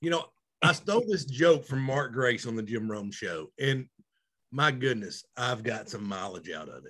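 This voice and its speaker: With a Southern US accent, the speaker uses a bright, sharp tone, a moderate pace, lively intonation, big swings in loudness and vocal fry. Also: man, medium pitch for a man. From Arkansas. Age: 40s. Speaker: podcast co-host. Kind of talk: casual chat.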